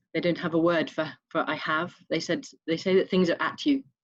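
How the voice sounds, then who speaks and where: Speaking with an English accent, a woman uses a fairly low pitch. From Scotland. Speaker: online summit participant. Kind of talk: group sharing circle.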